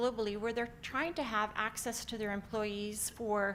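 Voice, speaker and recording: Audible room echo surrounds a woman with a Canadian accent and fairly high pitch. Her pace is moderate and her intonation fairly even. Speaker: company founder and CEO. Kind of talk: conference talk. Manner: frequent filler words (um).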